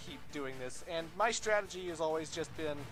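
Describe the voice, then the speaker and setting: With music playing in the background, a man talks at a high pitch and a moderate pace. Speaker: gaming streamer. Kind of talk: let's play commentary. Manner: casual, filler-heavy.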